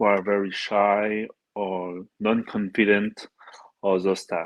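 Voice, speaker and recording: A man speaks with a French accent. His voice is fairly low in pitch. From France, Paris. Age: 30s. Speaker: dating coach and comedian. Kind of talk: casual interview.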